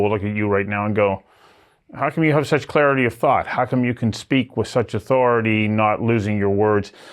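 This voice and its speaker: Ordinary pitch variation in an ordinary speaking voice. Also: man. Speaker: talk show host. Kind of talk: interview questions, conversational.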